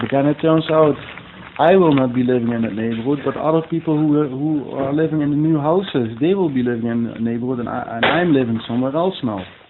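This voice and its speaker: Through noticeable background noise, a man talks very fast in a fairly high pitch with ordinary pitch variation. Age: 40s. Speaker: interviewee, local resident. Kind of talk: interview. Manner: halting, many repetitions.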